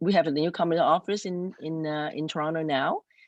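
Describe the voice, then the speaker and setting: At a moderate pace, the words come through against a quiet background. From immigrant to Canada. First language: not English. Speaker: city councillor. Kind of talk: community panel Q&A. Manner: halting.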